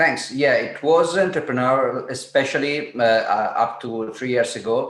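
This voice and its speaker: A man with an Italian accent at a moderate pace, ordinary pitch variation, and noticeable background noise. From Italy. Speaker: Bitcoin entrepreneur and educator. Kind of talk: interview. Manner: halting.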